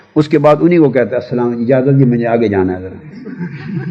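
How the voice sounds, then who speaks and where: A man's voice over noticeable background noise. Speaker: religious scholar and public orator giving speaking advice to young people. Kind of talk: instructional talk to an audience on public speaking. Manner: commanding, fatherly, emphatic, at times indignant.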